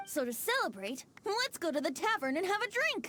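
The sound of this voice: A woman's put-on character voice, extremely high in pitch, with big pitch swings, a fairly bright tone and a moderate pace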